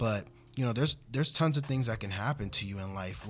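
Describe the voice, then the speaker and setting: A man with an American accent talks at a fairly quick pace with lively intonation. His voice is somewhat breathy. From US West Coast, Inglewood, California. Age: 20s. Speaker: life insurance and annuity specialist. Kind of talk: casual interview. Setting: studio.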